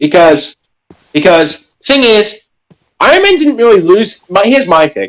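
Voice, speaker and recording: The speaker has an Australian accent. The pace is fairly slow. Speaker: live stream co-host. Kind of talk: casual chat.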